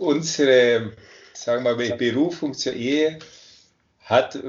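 Here is a normal speaking voice. The delivery is fairly slow. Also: man. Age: 50s. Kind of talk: interview.

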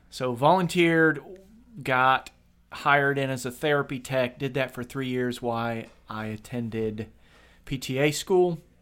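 Speaking at a medium pitch with ordinary variation, a man has a Midwestern American accent. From Kent, Ohio, US Midwest. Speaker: physical therapist assistant and podcast co-host. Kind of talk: casual chat.

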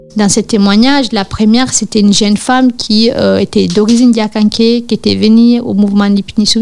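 An ordinary speaking voice at a moderate pace. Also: woman. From Guinea. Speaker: activist. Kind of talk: testimony.

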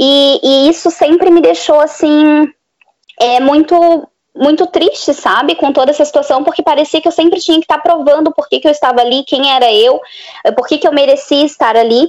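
A woman talks with a high voice at a moderate pace. Her loudness stays very even, with ordinary pitch variation. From Florianópolis, southern Brazil. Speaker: speech therapist. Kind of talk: casual chat.

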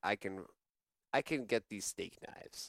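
A man with a normal speaking voice talks at a fairly slow pace in a fairly low pitch, recorded very cleanly with a silent background and a dry, close sound with no echo. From Canada. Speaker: news show host. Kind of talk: comedic mock news show, casual chat. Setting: studio.

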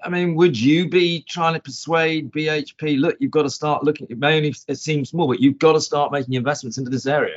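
With a plain, everyday voice, a man talks at a fairly quick pace and fairly high pitch, keeping his intonation fairly even and hardly pausing. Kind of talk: casual chat.

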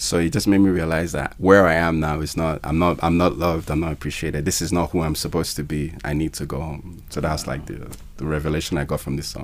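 A man with a very deep, low pitch and fairly even intonation, talking very fast over noticeable background noise. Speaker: musician and filmmaker. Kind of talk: casual interview. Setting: studio.

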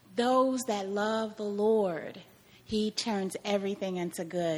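A woman speaks in an American accent at a fairly slow pace, with a medium pitch and ordinary pitch variation. She has an ordinary speaking voice. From Kansas. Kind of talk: testimony.

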